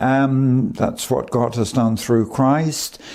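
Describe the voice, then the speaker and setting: His speech drags along at a very slow pace. It's a man talking. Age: 90s. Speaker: preacher. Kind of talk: sermon. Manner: halting.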